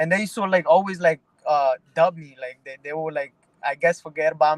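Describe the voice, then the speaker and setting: A man talks at a moderate pace with fairly even intonation. The sound is dry and close with no echo. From Mexico, raised in the Bronx, New York. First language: Spanish. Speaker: pro boxer. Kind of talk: interview. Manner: halting, many repeated words.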